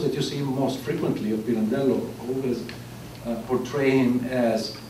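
With audible room echo and light background noise, a man talks at a fairly slow pace with ordinary pitch variation. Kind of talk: lecture. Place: hall. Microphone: camera far.

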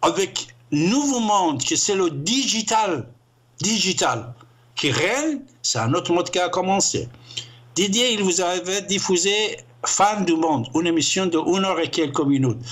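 An animated man with an Iranian accent, high-pitched, fairly slow, with very wide pitch swings and long, frequent pauses. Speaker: radio show host. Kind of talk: heated monologue, call-in show. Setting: call-in radio show, phone. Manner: animated, emphatic. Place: studio.

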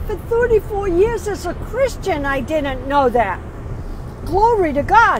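Her pitch extremely high and her pace very slow, a woman talks in a dry recording with no echo over noticeable background noise. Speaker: lay preacher. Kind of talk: sermon. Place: car. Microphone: earbuds.

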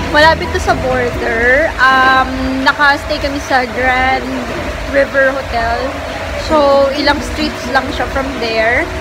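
Music is playing behind the speech. A woman talks fairly slowly. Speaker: food vlogger. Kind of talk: casual vlog chat. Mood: relaxed, satisfied after meal. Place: cafe. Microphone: phone near.

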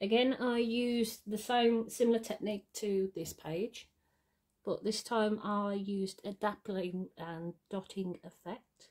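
Against a quiet background, a woman speaks at a fairly high pitch with ordinary variation. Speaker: artist. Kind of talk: casual talk to camera. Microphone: phone near.

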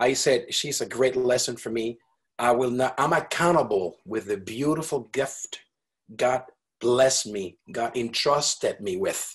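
Somewhat breathy speech comes at a fairly slow pace over a quiet background. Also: man, ordinary pitch variation. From Venezuela. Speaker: multi-instrumentalist wind musician; guest. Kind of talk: interview. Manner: animated. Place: studio. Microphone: video call.

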